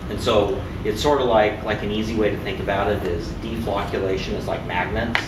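Noticeable background noise runs behind the speech. A man talks at a fairly quick pace with ordinary pitch variation. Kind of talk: explanation to group. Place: workshop.

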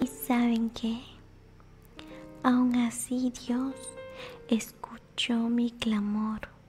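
Faint music plays in the background. Over it, a woman speaks very slowly in a high pitch. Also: ordinary pitch variation. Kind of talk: personal faith testimony to camera. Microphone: studio mic.

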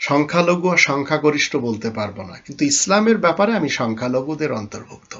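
A man speaks in a fairly high pitch. His voice makes very wide pitch swings. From Bangladesh. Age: 50s. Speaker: Islamic preacher. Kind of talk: religious lecture.

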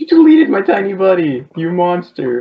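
Pitched in the middle range, the voice is a put-on character voice. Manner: mock-outraged, accusing.

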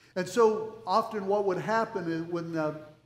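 Room echo is audible as a man speaks at a moderate pace. His pitch is high, with fairly even intonation. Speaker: pastor. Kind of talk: sermon. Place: church. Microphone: headset.

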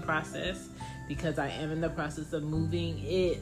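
Fairly slow delivery from a woman, clear music playing behind. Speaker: podcast host. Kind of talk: casual podcast monologue. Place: home room. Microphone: phone near.

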